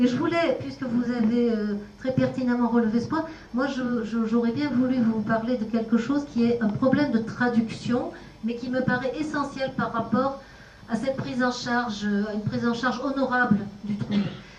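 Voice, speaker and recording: A woman speaks at a high pitch and a moderate pace, her intonation fairly even. Noticeable background noise and audible room echo fill the recording. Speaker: speech therapist. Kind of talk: panel discussion.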